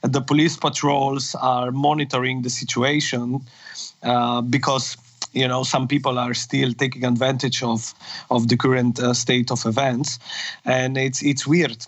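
Against noticeable background noise, a man speaks at a medium pitch and a fairly slow pace, his intonation monotone and flat. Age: 30s. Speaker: nightlife brand executive. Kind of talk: interview. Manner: halting.

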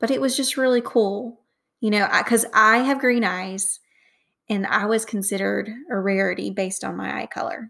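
On a very clean recording with a silent background, a woman with a Southern US accent speaks at a moderate pace and fairly high pitch, animated and enthusiastic, with a bright, sharp tone and ordinary pitch variation. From North Alabama, US South. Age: 20s. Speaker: podcast host. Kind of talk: casual solo podcast monologue. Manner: animated, enthusiastic.

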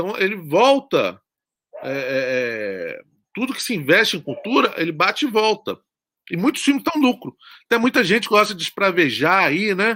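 Bright and sharp in tone, a man's high voice is raised and projected, swinging very widely in pitch. The sound is dry and close with no echo. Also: moderate pace. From Brazil, Espírito Santo (Guarapari). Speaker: horror film director. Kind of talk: interview.

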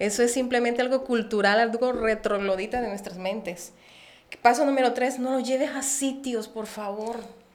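In a room with audible echo and noticeable background noise, a woman speaks at a high pitch and moderate pace with fairly even intonation. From Colombia, Barranquilla (Caribbean coast). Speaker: preschool educator. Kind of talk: casual chat.

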